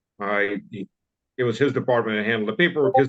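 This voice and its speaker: Here a man is talking. His voice is medium in pitch. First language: Russian. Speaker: former army officer. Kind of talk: interview storytelling. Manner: halting, many fillers.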